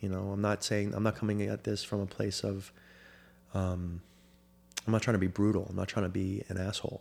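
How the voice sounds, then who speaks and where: In an American accent, a man talks at a fairly quick pace with a fairly low pitch. His intonation is monotone and flat, broken by long, frequent pauses. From Florida. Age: 30s. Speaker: former soccer goalkeeper and sports agent. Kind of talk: casual interview.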